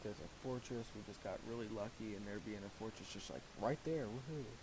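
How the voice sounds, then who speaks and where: A man's fairly low-pitched voice at a fairly quick pace. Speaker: gaming YouTuber. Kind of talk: gameplay commentary. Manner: mumbling; casual, halting.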